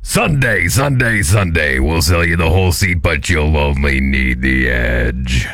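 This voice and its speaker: Using a put-on character voice, a man speaks at a very slow pace over faint music in the background. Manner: booming, hyped-up.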